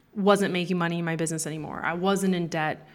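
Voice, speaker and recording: This is an ordinary speaking voice with a Canadian accent. The intonation stays fairly even. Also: woman. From Canada. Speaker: business coach. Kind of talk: interview.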